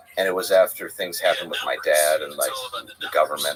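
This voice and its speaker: Noticeable background noise under a man talking at a fairly quick pace. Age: 40s. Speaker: podcast guest. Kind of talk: casual chat.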